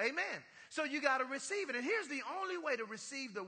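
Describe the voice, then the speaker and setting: A man speaks at a moderate pace in a raised, projected voice with a bright, sharp, animated tone. His pitch swings very widely. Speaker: pastor. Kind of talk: sermon, preacher in full flow with call-and-response. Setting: church with congregation. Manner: animated, rhythmic, exhorting the congregation with punchlines.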